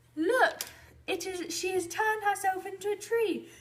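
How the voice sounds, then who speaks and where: A woman uses a put-on character voice, squeaky and extremely high in pitch. She keeps a moderate pace with fairly even intonation. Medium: read story. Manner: commanding.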